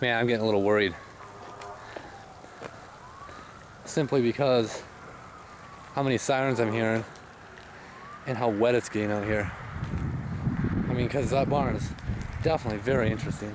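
A man talks at a fairly quick pace with fairly even intonation. The sound is dry with no echo, but background noise is noticeable. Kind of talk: casual vlog narration. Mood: tense, uneasy. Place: open country. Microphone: phone near.

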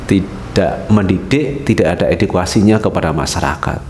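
Over light background noise and audible room echo, a man speaks at a moderate pace. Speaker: online news commentator. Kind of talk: commentary. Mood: concerned, critical. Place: office. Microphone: headset.

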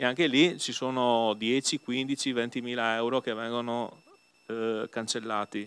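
Fairly even in intonation, a man speaks at a very slow pace. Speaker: opposition group leader councillor; council member or councillor. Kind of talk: council debate. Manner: halting, repetitive. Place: hall. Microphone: new microphone.

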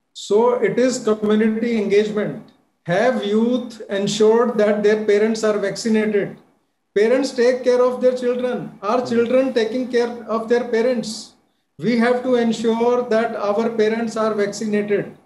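Audible room echo surrounds a monotone, flat delivery at a fairly slow pace with very even loudness. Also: man, extremely high pitch for a man. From India. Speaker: physician; guest. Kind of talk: TV panel discussion; interview answer. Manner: emphatic, repetitive. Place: home room. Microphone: video call.

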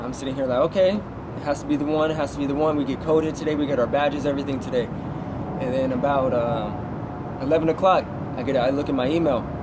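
Amid loud background noise, a man with an American accent talks at a very fast pace in a fairly high pitch. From Southern California. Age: 20s. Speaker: truck driver; interview guest. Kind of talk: interview. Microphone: phone near.

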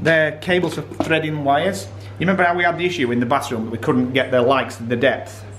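Against noticeable background noise, a man talks at a very fast pace and fairly high pitch with lively intonation. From England. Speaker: vlogger. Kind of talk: casual vlog talk. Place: home room. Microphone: phone near.

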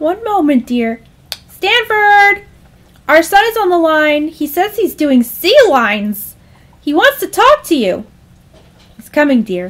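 A female-sounding put-on character voice at an extremely high pitch swings very widely in pitch, moving at a fairly slow pace with long, frequent pauses. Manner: placid, doting, calls him dear.

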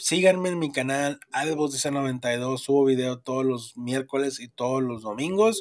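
A medium-pitched man with a northern Mexican accent and ordinary pitch variation. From northern Mexico. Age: 30s. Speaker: podcast host. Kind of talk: casual chat.

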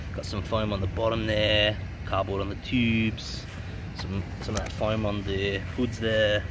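A man speaks at a fairly slow pace, with a fairly low pitch and fairly even intonation. The sound is dry with no echo, though background noise is noticeable. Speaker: travel vlogger. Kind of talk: casual vlog chat. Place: street. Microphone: phone near.

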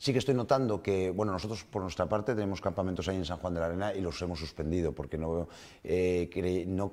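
Ordinary pitch variation at a very fast pace. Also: man, very deep, low pitch for a man. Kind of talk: interview answer. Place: studio.

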